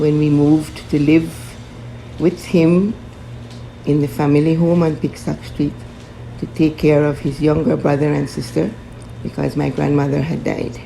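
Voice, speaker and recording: Over noticeable background noise, a woman speaks with long, frequent pauses. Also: moderate pace. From Belize, Belize City. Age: 80s+. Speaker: interviewee sharing family memories. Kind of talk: oral history interview.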